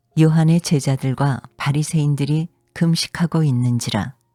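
A woman's very deep, low voice at a fairly slow pace, dry and close with no echo, music playing in the background. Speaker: voice actor. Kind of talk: scripture reading.

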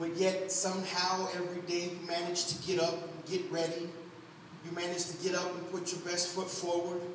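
With audible room echo and noticeable background noise, a man with a high pitch talks at a moderate pace in a monotone, flat intonation. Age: 30s. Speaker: pastor. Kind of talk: Sunday church sermon, conversational and exhorting, with congregational call-and-response. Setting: church. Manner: folksy and humorous, addressing congregation directly. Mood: warm, encouraging, emotive. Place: church. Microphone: camera far.

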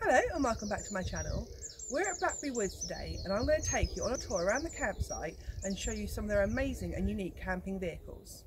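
A woman talks at a very fast pace. Noticeable background noise can be heard behind her. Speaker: travel vlogger. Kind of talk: casual vlog chat. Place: open country.

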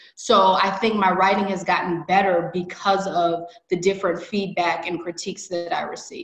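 Over a quiet background with audible room echo, a woman with a Chicago accent talks at a moderate pace in a monotone, flat intonation, with hardly any pauses. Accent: Chicago-area American. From US Midwest. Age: 30s. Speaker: MBA admit; interviewee. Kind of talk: interview. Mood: grateful, reflective. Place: home room. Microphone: video call.

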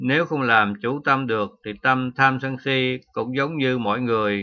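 Against a quiet background, a man speaks at a medium pitch with a bright, sharp tone. His intonation stays fairly even. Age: 70s. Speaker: Buddhist monk teacher. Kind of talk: dharma talk.

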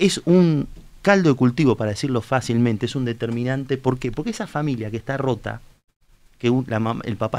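The speech has ordinary pitch variation and a moderate pace. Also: man. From Argentina, Tandil; Argentina. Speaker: politician, candidate. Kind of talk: political interview on live talk show. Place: studio. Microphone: studio mic.

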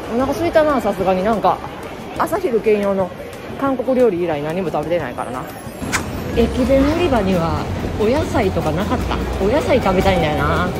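With music in the background, a woman speaks with long, frequent pauses. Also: moderate pace. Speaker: vlogger housewife. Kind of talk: casual vlog chat. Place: shop. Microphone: phone near.

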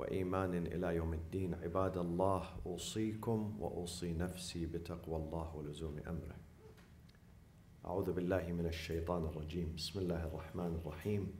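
A man talks fairly slowly in a very deep, low voice that is dark, mellow, somewhat breathy and monotone. Light background noise and audible room echo fill the recording. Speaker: preacher. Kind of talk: sermon. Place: church. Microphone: podium.

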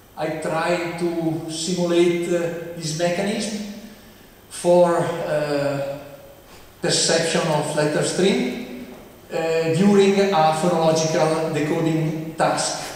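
Very slow speech in an Italian accent, fairly even intonation, strong room echo. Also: man, high pitch for a man. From Italy. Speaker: professor. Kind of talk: lecture. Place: hall.

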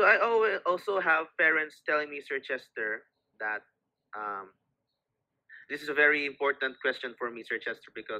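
A man with a fairly high pitch and a bright, sharp tone speaks at a moderate pace with lively intonation against a quiet background. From Philippines, Cebu City. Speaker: occupational therapist and show host. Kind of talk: educational interview.

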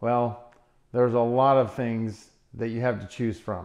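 A man talks at a moderate pace. Around him, the background stays quiet. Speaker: plant-based diet vlogger. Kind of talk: casual vlog chat. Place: kitchen.

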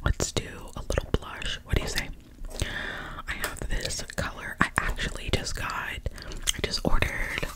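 A woman at a fairly slow pace against loud background noise. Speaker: makeup roleplay host. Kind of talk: casual roleplay chat to viewer. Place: home room. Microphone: earbuds.

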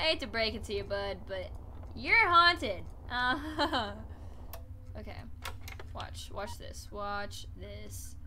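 A woman at a very slow pace, with big swings in loudness and light background noise. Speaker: game streamer. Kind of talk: gameplay commentary. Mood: wary, playful.

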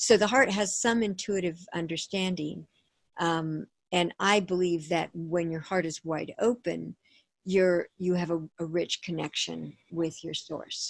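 A woman speaks at a fairly slow pace and fairly low pitch with fairly even intonation. The background is quiet and the sound is dry, with no echo. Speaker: author and pleasure coach. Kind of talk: interview conversation. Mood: warm, upbeat. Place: home room. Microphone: video call.

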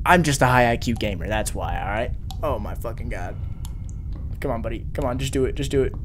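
A man talking at a very fast pace amid noticeable background noise. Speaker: gamer streamer. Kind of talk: casual gaming commentary. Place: home room. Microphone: headset.

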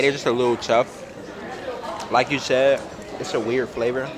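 A man talks at a moderate pace with fairly even intonation while music plays in the background. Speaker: food vlogger. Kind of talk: casual vlog chat. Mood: relaxed, mildly critical. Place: cafe.

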